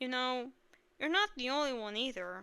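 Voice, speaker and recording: A woman uses a put-on character voice at a high pitch. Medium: read story. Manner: gentle, reassuring.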